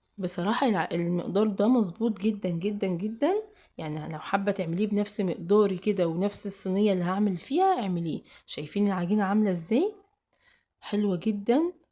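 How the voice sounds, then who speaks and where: A woman with a dark, mellow tone talks at medium pitch and a moderate pace, with ordinary pitch variation. The recording is very clean, with a silent background. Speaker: cooking channel host. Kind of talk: cooking tutorial. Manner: casual, halting with fillers.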